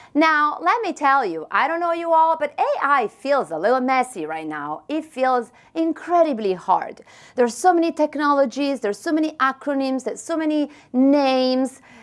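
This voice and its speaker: A woman with an Italian accent, high-pitched and lively in intonation, at a moderate pace. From Italy. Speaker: tech company marketing leader. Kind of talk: conference presentation. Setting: stage with audience. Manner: animated.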